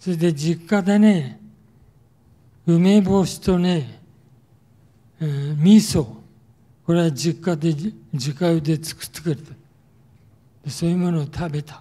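A man with a high pitch and a dark, mellow tone speaks at a fairly slow pace with long, frequent pauses, ordinary pitch variation, and big swings in loudness. The background is quiet. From Tokyo (Yotsuya); Tokyo. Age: 80s+. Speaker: war survivor speaker; wartime experience lecturer. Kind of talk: testimony. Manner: casual, frequent filler particles ね. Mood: calm reminiscing. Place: hall. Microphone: handheld.

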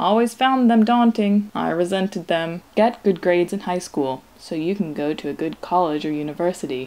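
An unremarkable speaking voice, a woman at fairly low pitch with ordinary pitch variation and a moderate pace. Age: 20s. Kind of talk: personal video diary monologue, read aloud.

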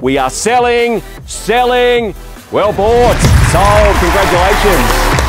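Loud music plays in the background of a dry sound with no echo. The speech moves at a very slow pace. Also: man. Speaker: auctioneer. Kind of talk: auction calling. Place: street.

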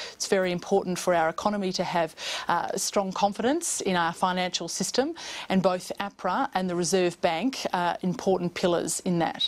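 At a moderate pace, the speaker talks with an Australian accent and ordinary pitch variation. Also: woman, medium pitch for a woman. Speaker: government MP and committee chair. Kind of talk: news interview. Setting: remote studio link. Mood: calm, measured, formal. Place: studio. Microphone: lapel.

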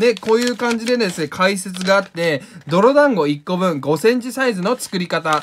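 With lively intonation and an animated tone, a man speaks in a high pitch at a moderate pace. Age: 20s. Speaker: painter and video creator. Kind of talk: casual craft tutorial vlog.

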